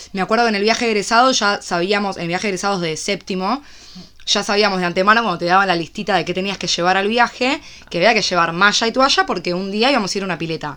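In a Rioplatense accent, a woman of medium pitch speaks at a very fast pace in a bright, sharp tone with ordinary pitch variation. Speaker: podcast co-host. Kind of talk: casual chat.

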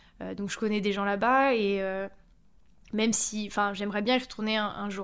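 A woman talks fairly quickly in a medium pitch. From France. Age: 30s. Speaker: mother sharing her story. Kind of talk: interview.

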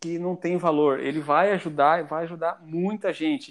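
The man's voice is high-pitched, with ordinary pitch variation and a moderate pace. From Brazil, Mato Grosso do Sul (Ponta Porã, Paraguay border). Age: 30s. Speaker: software developer, English learner. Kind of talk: casual interview chat.

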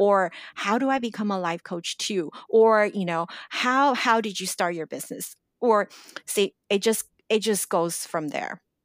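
Recorded very cleanly with a silent background and a dry, close sound with no echo, a woman speaks at a fairly slow pace with a medium pitch and ordinary pitch variation. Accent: American. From Los Angeles, US. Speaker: life coach. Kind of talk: interview.

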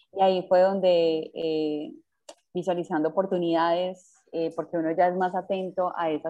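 A woman's normal speaking voice, fairly low in pitch, with fairly even intonation and a fairly slow pace. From Colombia, Medellín. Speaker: startup founder. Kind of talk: interview.

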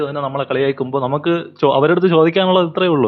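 In a normal speaking voice, a man speaks at a fairly high pitch with fairly even intonation. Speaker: podcast host. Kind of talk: casual chat.

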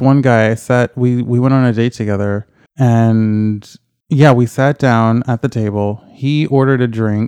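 In an unremarkable speaking voice, a man of medium pitch talks at a fairly slow pace with fairly even intonation. The sound is dry and close with no echo, and the background is quiet. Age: 30s. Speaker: podcast guest. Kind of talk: casual interview chat.

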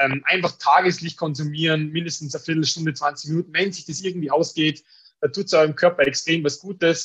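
A monotone, flat delivery in an Austrian accent. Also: man. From Austria, Tyrol (Innsbruck). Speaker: business owner selling blue-light glasses. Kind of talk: podcast interview.

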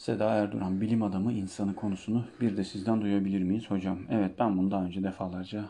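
In a dark, mellow tone, a man talks at a fairly quick pace and fairly low pitch with monotone, flat intonation. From Turkey, Denizli (Çivril). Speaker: Turkish language teacher. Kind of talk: solo Q&A podcast, casual.

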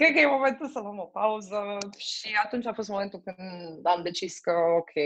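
A woman at a very slow pace with lively intonation. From Romania. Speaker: logistics manager. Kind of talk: interview.

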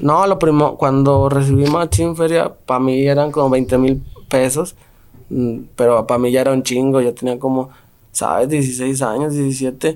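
An ordinary speaking voice moves at a fairly slow pace, with very even loudness and ordinary pitch variation. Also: man, medium pitch for a man. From Mexico, Guanajuato (Santa Fe barrio). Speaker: rapper. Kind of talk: casual interview.

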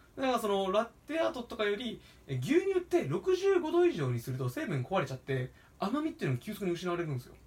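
Over noticeable background noise, a man with a high pitch talks at a fairly quick pace, his pitch swinging very widely and his loudness rising and falling a lot. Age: 20s. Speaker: podcast co-host and coffee roaster. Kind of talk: casual chat.

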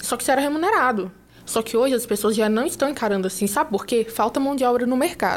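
At a very fast pace, a woman speaks in a high pitch with ordinary pitch variation. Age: 20s. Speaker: entrepreneur. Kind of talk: casual interview.

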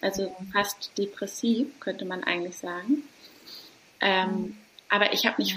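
Noticeable background noise sits behind the voice. A woman speaks at a medium pitch with ordinary pitch variation. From Hamburg, northern Germany. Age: 30s. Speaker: doula. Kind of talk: casual interview. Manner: warm, soft.

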